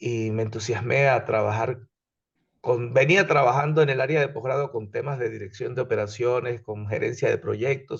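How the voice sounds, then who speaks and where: Somewhat breathy, a man's voice sits at a medium pitch. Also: ordinary pitch variation, moderate pace. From Venezuela. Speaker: engineering instructor. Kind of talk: lecture.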